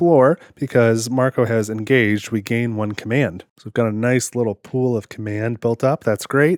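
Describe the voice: The clip is plain reading aloud, its intonation fairly even.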